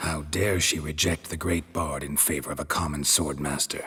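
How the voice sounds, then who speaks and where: A man uses a put-on character voice, very deep and low in pitch. His tone is deadpan and his pace moderate. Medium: video game. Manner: dry, terse, deadpan.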